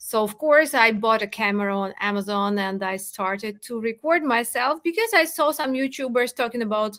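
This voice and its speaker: Her tone bright and sharp, a woman with a non-native accent talks at a fairly high pitch and moderate pace, with lively intonation and hardly any pauses. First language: not English. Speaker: crypto content creator. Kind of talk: podcast interview. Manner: halting, with hesitations.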